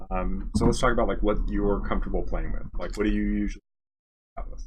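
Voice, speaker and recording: Soft-spoken, a man talks at a very fast pace. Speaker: game developer coaching a player. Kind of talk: tutorial. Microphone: too quiet, moving closer to mic.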